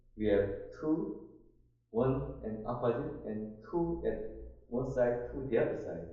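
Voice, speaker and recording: A man with a Korean accent amid audible room echo. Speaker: instructor. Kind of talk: online class discussion. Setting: online conference. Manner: halting.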